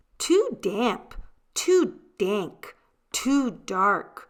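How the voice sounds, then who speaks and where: A woman's put-on character voice, fairly high and squeaky yet growling, with very wide pitch swings, in a very clean recording with a silent background. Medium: read story.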